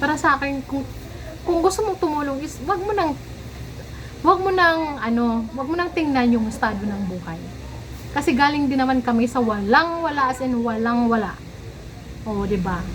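A woman's high-pitched voice with lively intonation at a fairly quick pace, broken by long, frequent pauses, amid audible room echo and noticeable background noise. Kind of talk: casual vlog monologue.

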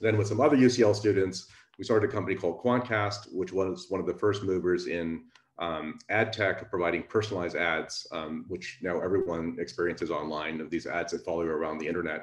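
At a fairly quick pace and with ordinary pitch variation, the speech carries audible room echo and light background noise. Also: man, very deep, low pitch for a man. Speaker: speaker. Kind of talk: lecture. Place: home room. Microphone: webcam.

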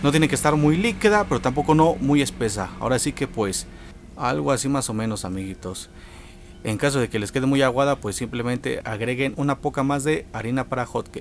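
With lively intonation and a fairly quick pace, a man speaks in a dry sound with no echo over light background noise. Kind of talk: tutorial. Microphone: phone near.

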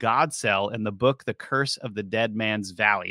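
Over a quiet background, a man's bright, sharp voice comes through dry with no echo. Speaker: investigative researcher and show host. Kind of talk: scripted narration mixed with casual conversation. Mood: calm, mysterious storytelling. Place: studio. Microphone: studio mic.

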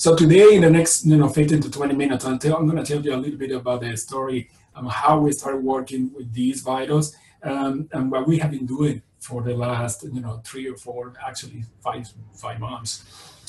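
A man with a Spanish accent talks at a moderate pace and medium pitch with fairly even intonation, audible room echo and light background noise. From Venezuela. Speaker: virology professor. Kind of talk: lecture. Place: home room. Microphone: webcam.

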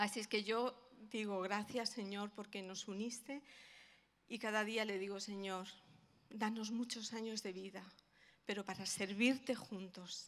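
A woman talks at a fairly slow pace and medium pitch. Her intonation stays fairly even. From Spain, Madrid (Vallecas); Spain. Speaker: pastor's wife; guest. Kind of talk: testimony. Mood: warm, heartfelt. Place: church. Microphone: handheld.

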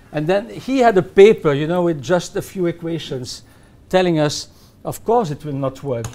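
Lively intonation at a moderate pace. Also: man, high pitch for a man. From Belgium. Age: 70s. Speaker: economics professor; guest. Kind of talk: interview. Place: studio.

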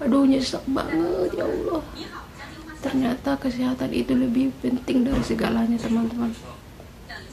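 A woman speaks at a moderate pace. Noticeable background noise is present. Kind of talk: casual vlog chat. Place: home room. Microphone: phone near.

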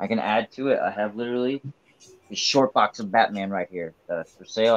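Fairly even intonation from a male speaker. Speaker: comic auction seller. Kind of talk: live auction stream. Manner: casual, hedging. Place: home room. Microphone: webcam.

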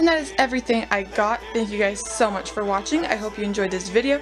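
Music plays in the background as a woman talks. Her voice is fairly high and her pace fairly quick. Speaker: model horse collector vlogger. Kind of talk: casual chat. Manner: animated.

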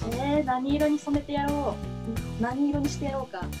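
Clear music can be heard behind the speaker. She is a woman talking at a moderate pace. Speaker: voice actor. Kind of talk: casual variety show talk. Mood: cheerful, playful. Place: home room. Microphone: camera far.

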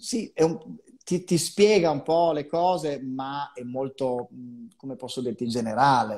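With a quiet background, a man at a fairly high pitch speaks at a fairly slow pace, using lively intonation and big swings in loudness. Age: 50s. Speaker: psychologist; guest. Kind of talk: live video chat interview. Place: home room. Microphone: earbuds.

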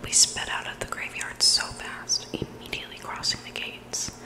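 A woman whispers in a breathy voice at a moderate pace over noticeable background noise. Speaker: ASMR storyteller. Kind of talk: reading scary stories aloud. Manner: close breathy whisper into microphone. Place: home room. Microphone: studio mic.

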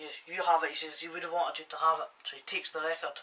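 A man's bright, sharp tone at a fairly high pitch

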